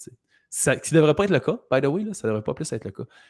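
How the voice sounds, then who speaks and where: Lively intonation fills a man's speech on a very clean recording with a silent background. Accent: Quebec. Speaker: health and business coach. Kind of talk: interview.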